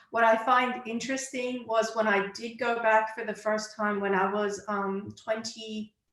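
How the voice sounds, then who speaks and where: A woman with an American accent speaks at a moderate pace, her pitch fairly high. Her intonation stays monotone and flat, with hardly any pauses. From United States (Iranian-born). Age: 40s. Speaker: clarity coach. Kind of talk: interview.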